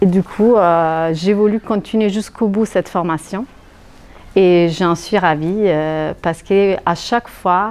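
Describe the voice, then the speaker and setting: Speaking very slowly with an Italian accent, a woman keeps a medium pitch, fairly even intonation and very even loudness. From Italy. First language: Italian (speaking French). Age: 40s. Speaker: hypnotherapy trainee, luxury sector worker. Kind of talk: testimonial interview. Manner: hesitant, many fillers.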